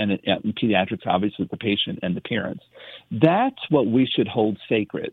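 This man has a plain, everyday voice at a fairly low pitch. His pace is moderate. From US, immigrant family. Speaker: pediatrician. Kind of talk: radio interview.

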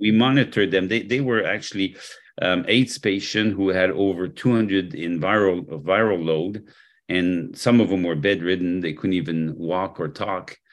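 Against a quiet background, a man with a French accent and a very deep, low pitch speaks at a moderate pace with ordinary pitch variation. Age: 60s. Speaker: health product formulator and company executive. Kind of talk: interview.

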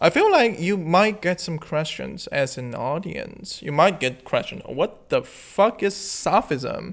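A man with a Chinese accent speaks at a high pitch with lively intonation. He leaves hardly any pauses. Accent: Mandarin Chinese accent in English. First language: Mandarin. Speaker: podcast host. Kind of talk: casual monologue. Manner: halting.

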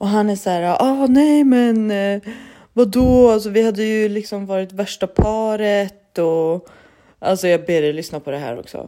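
Heard in a very clean recording with a silent background, a woman talks at a fairly slow pace with lively intonation. Her medium-pitched voice has a dark, mellow tone. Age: 30s. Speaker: solo podcast host. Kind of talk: casual monologue. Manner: animated.

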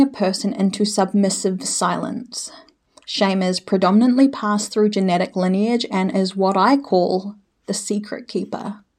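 A woman with a New Zealand accent speaks at a moderate pace in a medium pitch with fairly even intonation. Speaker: healer and emotion therapist. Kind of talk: solo podcast monologue.

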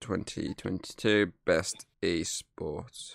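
Very slowly and with fairly even intonation, a man with a fairly low voice speaks in a dry, close recording with no echo, very clean and against a silent background. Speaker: podcast host. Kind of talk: casual banter, gaming chat. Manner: profane, joking, laughing.

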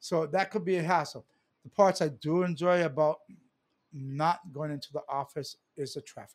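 A man with a Hawaiian accent talks at a moderate pace and fairly high pitch, with ordinary pitch variation and big swings in loudness. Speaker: political candidate and community advocate. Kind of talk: casual chat. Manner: animated.

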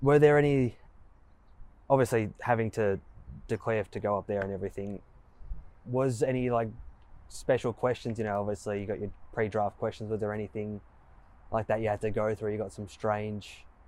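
A man with an Australian accent speaks at a fairly quick pace but with long, frequent pauses. His pitch is fairly low and his intonation fairly even. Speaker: podcast host. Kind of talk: interview. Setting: at a football oval.

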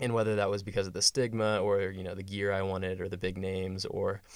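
A man with an American accent speaks very fast in a very deep, low pitch. His intonation is monotone and flat, and the recording is very clean with a silent background. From West Texas. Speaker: college runner. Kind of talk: casual chat. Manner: hesitant, many fillers.

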